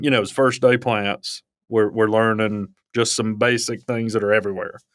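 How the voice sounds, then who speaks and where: A very clean recording has a silent background. The talking keeps to a moderate pace. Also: man. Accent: Alabama. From Alabama. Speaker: wildlife ecology professor. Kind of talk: casual chat.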